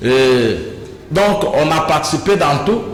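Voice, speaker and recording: Through audible room echo and noticeable background noise, a man's fairly high voice swings very widely in pitch. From DR Congo, Kasai (Mweka). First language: Kuba (Chikuba) (speaking French). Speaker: provincial politician. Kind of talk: interview.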